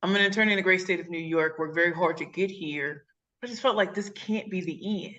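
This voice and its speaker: Speaking very fast with a St. Louis accent, a woman sounds animated, her tone bright and sharp and her loudness swinging widely. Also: ordinary pitch variation. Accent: Midwestern, St. Louis. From St. Louis, Missouri, US Midwest. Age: 40s. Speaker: pitch coach and speaker. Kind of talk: interview. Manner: high-energy, animated.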